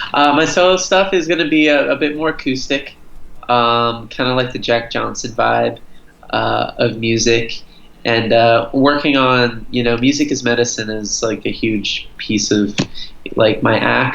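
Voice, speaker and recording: A man speaks at a fairly slow pace with a medium pitch and ordinary pitch variation. Audible room echo surrounds his voice. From Florida, US, Brazilian family. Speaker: singer-songwriter. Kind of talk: casual interview. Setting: video call.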